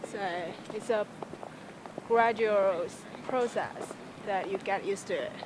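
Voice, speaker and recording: Against noticeable background noise, a woman with a fairly high pitch talks at a fairly slow pace with fairly even intonation and long, frequent pauses. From China. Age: young. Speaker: college student. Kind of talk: classroom discussion. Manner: halting.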